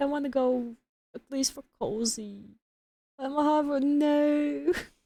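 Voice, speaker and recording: A woman with a non-native accent speaks fairly slowly in a high pitch, her tone dark and mellow, with ordinary pitch variation. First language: not English. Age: 20s. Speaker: game streamer. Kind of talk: casual chat.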